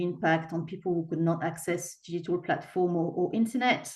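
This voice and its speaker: Speaking at a fairly quick pace, a woman with a French accent uses ordinary pitch variation. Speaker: equality and human rights presenter. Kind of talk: webinar presentation.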